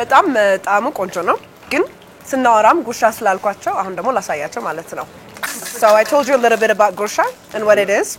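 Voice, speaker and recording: Over noticeable background noise, a woman talks at a moderate pace with long, frequent pauses. Her pitch is fairly high and her intonation lively. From Ethiopia. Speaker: cooking show host. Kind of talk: cooking show conversation.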